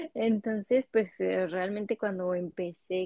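At a very slow pace, a woman speaks with a Mexican accent at a medium pitch, with ordinary pitch variation. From Mexico, Cancún. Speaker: immigrant guest. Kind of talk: casual interview chat.

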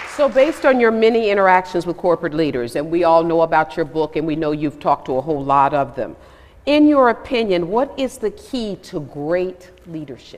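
A woman with an American accent talks at a fairly quick pace, her fairly low voice moving through very wide pitch swings. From Atlanta, US South. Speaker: news reporter moderator. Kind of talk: moderated interview. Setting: stage with audience.

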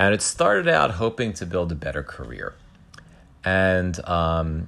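A man's very deep, low voice at a fairly slow pace with ordinary pitch variation. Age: 50s. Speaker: podcast host. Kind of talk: solo monologue. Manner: halting.

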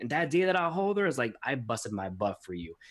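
In a very clean recording with a silent background, a man rushes at a very fast pace with vocal fry and very wide pitch swings. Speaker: podcast host and author. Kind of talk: casual interview.

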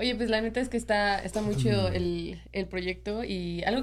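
A woman with a Mexican accent at a moderate pace. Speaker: podcast co-host. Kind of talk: casual chat.

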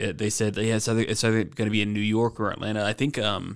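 A man with an American accent speaks at a fairly low pitch in a monotone, flat intonation on a very clean recording with a silent background. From US South, Georgia (Stone Mountain). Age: 30s. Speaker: martial artist and security officer. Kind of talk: casual chat. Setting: recording at a brewery.

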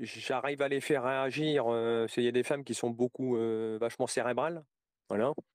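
Medium-pitched male speech at a moderate pace with fairly even intonation. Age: 40s. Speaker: interviewee sharing personal story. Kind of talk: testimony. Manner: halting.

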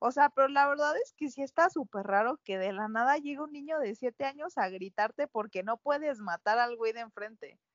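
A woman with a high pitch speaks with hardly any pauses. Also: lively intonation, moderate pace. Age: 20s. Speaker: podcast co-host. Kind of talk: casual chat.

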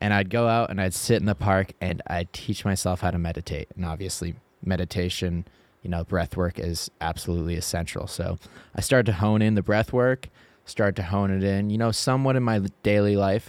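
A man with an ordinary speaking voice talks at a fairly low pitch with ordinary pitch variation. The recording is very clean, with a silent background and a dry, close sound with no echo. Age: 20s. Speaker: nonprofit employee. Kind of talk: casual interview. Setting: studio.

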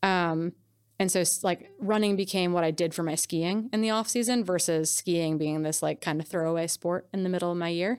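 An ordinary speaking voice with an American accent moves at a fairly quick pace, with fairly even intonation. The recording is very clean, with a silent background. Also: woman, fairly low pitch for a woman. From US Midwest, Wisconsin. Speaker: ultrarunner and coach. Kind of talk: casual interview.

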